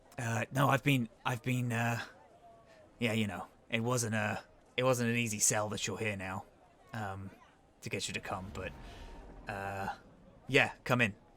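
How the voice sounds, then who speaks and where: Using a raspy, put-on character voice at a medium pitch, a man speaks at a moderate pace with fairly even intonation and long, frequent pauses. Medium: actual play. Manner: halting, hesitant.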